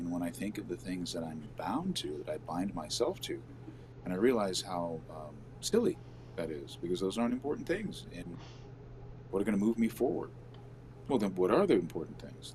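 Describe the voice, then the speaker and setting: Man with a very deep, low pitch, vocal fry, very wide pitch swings and a moderate pace. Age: 60s. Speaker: live show co-host. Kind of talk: casual chat.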